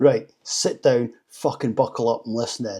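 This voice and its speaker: A man speaks at a moderate pace with a medium pitch and a dark, mellow tone. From United Kingdom. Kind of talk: comedic rant to camera.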